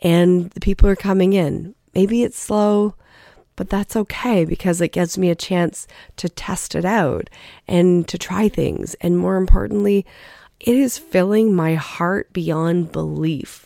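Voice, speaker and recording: On a very clean recording with a silent background, a woman speaks fairly slowly in a fairly low pitch with a dark, mellow tone and ordinary pitch variation. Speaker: podcast host, life coach. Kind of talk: solo podcast monologue. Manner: casual, conversational.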